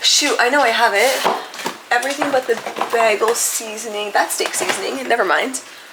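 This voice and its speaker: Noticeable background noise sits behind a woman's voice. Her pitch is fairly high, with ordinary pitch variation. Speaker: vlogger. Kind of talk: casual vlog narration. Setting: home kitchen.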